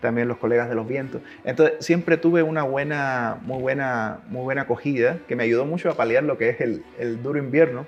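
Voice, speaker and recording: Talking fairly quickly, a man uses a medium pitch with ordinary pitch variation. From Cuba, Havana area. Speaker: orchestra double bass player. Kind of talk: interview.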